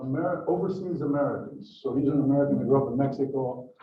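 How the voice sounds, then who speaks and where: A man talks fairly quickly at a fairly high pitch. Audible room echo surrounds his voice. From Brazil. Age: 60s. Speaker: museum volunteer and history speaker. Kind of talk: lecture.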